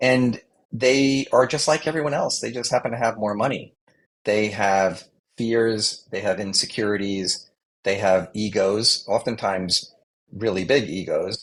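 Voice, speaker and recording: The speaker has a plain, everyday voice with an American accent. The delivery is fairly slow, with ordinary pitch variation. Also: man, fairly low pitch for a man. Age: 60s. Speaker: communications adviser. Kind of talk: interview.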